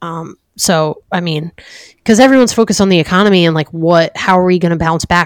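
A woman with an American accent and an ordinary speaking voice talks at a fairly quick pace, fairly low in pitch with ordinary pitch variation. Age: 30s. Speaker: podcast co-host. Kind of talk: casual chat. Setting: video call.

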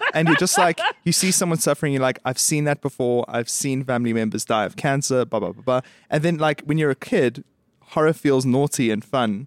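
An ordinary speaking voice, a man talks fairly quickly at a fairly high pitch with ordinary pitch variation, the sound dry and close with no echo. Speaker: podcast co-host. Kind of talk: casual chat.

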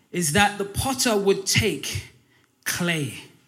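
A man speaks at a high pitch with lively intonation. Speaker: pastor. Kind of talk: Pentecostal-style Sunday sermon, call-and-response exhortation. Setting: church service with congregation.

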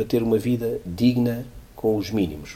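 A man talks at a medium speed as clearly audible noise fills the background. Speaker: economics professor and CFO. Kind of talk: interview.

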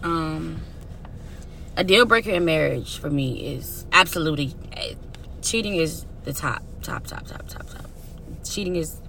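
A woman speaks fairly slowly in an animated tone, with long, frequent pauses and big swings in loudness. Audible room echo and noticeable background noise fill the recording. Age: 30s. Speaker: podcast co-host. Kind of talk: casual chat.

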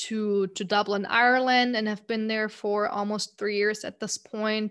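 In a very clean recording with a silent background, a woman speaks with a German accent at a fairly slow pace. Her fairly high voice has a bright, sharp tone and monotone, flat intonation. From Germany, Munich. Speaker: account director and podcast host. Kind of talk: interview.

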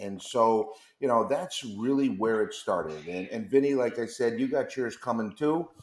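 A man with an unremarkable speaking voice, medium pitch and lively intonation, at a moderate pace with an American accent. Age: 50s. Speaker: chocolate company executive. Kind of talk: interview.

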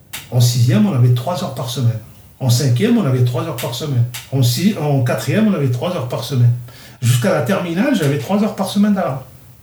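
A man talks at a very fast pace with lively intonation and a medium pitch. Audible room echo and noticeable background noise are present in the recording. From Algeria, Kabylie. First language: Kabyle (speaking French). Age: 60s. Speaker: interviewee recounting his childhood. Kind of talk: personal life story interview. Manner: halting, many hesitations.

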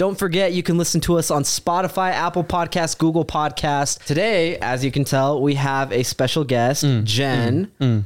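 An ordinary speaking voice with hardly any pauses, very even loudness and ordinary pitch variation. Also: man, fairly high pitch for a man, moderate pace. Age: 20s. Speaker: podcast host. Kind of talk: casual chat.

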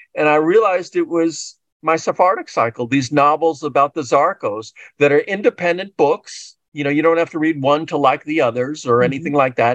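A man with an American accent and an unremarkable speaking voice, fairly high in pitch with ordinary pitch variation, over a quiet background. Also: fairly quick pace. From US Northeast (New York). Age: 60s. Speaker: novelist. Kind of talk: interview.

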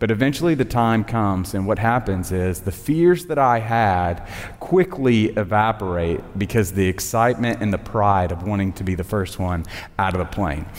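With a Southern US accent, a man speaks in a fairly low pitch at a moderate pace with ordinary pitch variation while music plays in the background. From Tennessee. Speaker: communications director and chapel speaker. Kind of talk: sermon. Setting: college chapel with audience.

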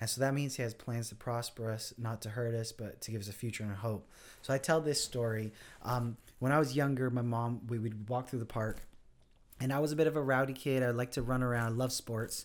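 A man with an ordinary speaking voice, fairly even intonation and a fairly quick pace. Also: medium pitch for a man, very clean recording, silent background. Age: 30s. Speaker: pastor. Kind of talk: casual chat.

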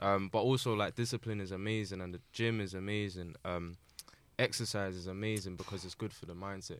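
A man with a London accent speaks at a fairly quick pace. His very deep, low pitch carries fairly even intonation. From Southeast London. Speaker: music producer. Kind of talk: casual chat.

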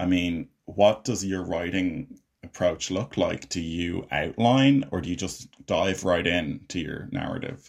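With an Irish accent, a man with a very deep, low pitch speaks at a fairly slow pace, using lively intonation and hardly any pauses. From Ireland. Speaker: podcast host, filmmaker and actor. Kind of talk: casual interview chat. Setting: video call.

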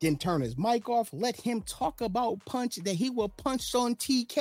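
On a very clean recording with a silent background and a dry, close sound with no echo, a man speaks at a moderate pace in an animated tone with an extremely high pitch. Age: 30s. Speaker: wrestling podcast co-host. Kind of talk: casual chat.

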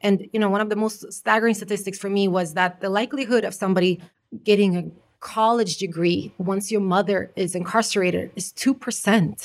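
A woman with a plain, everyday voice, medium pitch, fairly even intonation and a fairly quick pace. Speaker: life coach and artist. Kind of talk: casual chat. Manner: warm, laughs often.

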